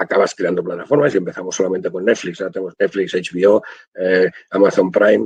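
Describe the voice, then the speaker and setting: A man's voice comes through in a dry, close sound with no echo. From Spain, Barcelona (Catalonia). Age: 60s. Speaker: audiovisual translator. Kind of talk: webinar talk.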